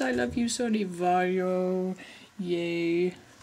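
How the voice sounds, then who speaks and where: A woman speaks with an English accent. Noticeable background noise runs behind her. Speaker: vlogger, animation artist. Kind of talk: casual vlog, answering viewer questions. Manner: animated; fast.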